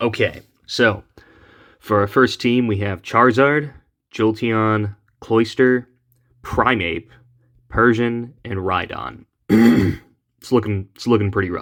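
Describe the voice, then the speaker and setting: In a very clean recording with a silent background, a man speaks very slowly at a medium pitch with fairly even intonation. His pauses are long and frequent. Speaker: gaming YouTuber. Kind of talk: gameplay commentary. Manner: casual, conversational.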